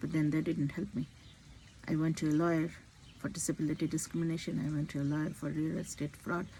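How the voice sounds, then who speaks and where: Very fast speech comes from a woman with a very deep, low pitch. Her tone is dark and mellow, her intonation monotone and flat. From India. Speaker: physician. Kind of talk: personal vlog monologue. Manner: halting.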